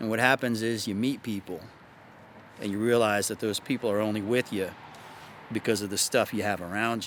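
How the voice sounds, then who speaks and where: A man's fairly low voice at a fairly quick pace, with fairly even intonation and long, frequent pauses. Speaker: dating and self-improvement YouTuber. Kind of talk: casual solo monologue.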